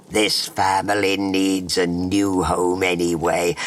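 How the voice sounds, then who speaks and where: A put-on character voice moves at a fairly slow pace over light background noise. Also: man, very deep, low pitch for a man. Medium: read story. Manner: muttering, weary.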